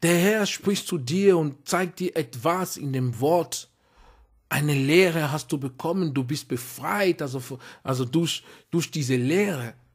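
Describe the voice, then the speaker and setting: With a non-native accent, a man speaks at a very slow pace, with a fairly high pitch, ordinary pitch variation and a somewhat breathy sound. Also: very clean recording, silent background. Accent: foreign accent in German. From outside Germany, immigrant. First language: not German (speaking German). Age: adult. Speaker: preacher. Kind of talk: sermon. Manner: halting, many fillers.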